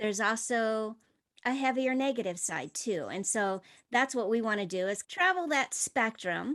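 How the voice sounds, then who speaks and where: A woman's normal speaking voice, fairly high in pitch with ordinary pitch variation, at a moderate pace against a quiet background. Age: 50s. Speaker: podcast co-host. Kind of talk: casual podcast chat.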